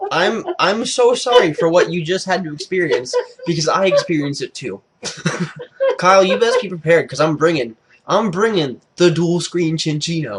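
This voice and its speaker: This man's high voice shows a normal amount of pitch movement. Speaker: gaming YouTuber. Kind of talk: casual chat. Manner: fast.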